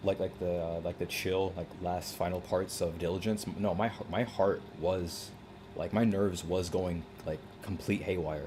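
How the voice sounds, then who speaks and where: A man's very deep, low voice comes out somewhat breathy, with a dark, mellow tone and monotone, flat intonation. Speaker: gaming streamer. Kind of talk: live stream commentary. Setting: live stream at computer. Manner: halting, self-interrupting; fast casual filler-heavy.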